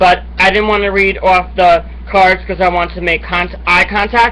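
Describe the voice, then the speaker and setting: The man talks at a fairly quick pace, with noticeable background noise present. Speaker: online show host. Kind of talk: casual monologue to camera. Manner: fast.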